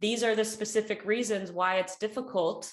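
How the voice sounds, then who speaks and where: A woman with an American accent and an ordinary speaking voice, at a moderate pace with ordinary pitch variation. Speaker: English teacher. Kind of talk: English lesson explaining a poem. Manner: casual, friendly.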